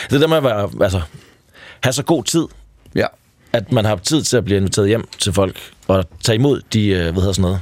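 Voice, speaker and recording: On a very clean recording with a silent background, a man speaks at very even loudness with long, frequent pauses. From Denmark, Triangle Region (Jutland). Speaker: founder of a hitchhiking community. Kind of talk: radio interview. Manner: hesitant, many fillers.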